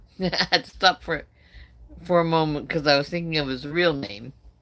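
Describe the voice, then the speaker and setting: On a very clean recording with a silent background, a woman speaks with a very deep, low pitch and lively intonation. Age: 60s. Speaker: carnivore diet live streamer. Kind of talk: casual live stream chat. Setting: live stream. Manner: conversational, halting with fillers.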